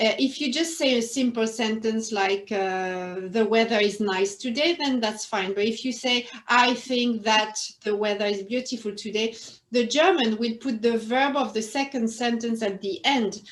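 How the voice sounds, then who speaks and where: A woman speaks with a French accent at a moderate pace. Her pitch is fairly high, with ordinary variation. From northern France. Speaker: interview guest, former quality manager. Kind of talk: interview.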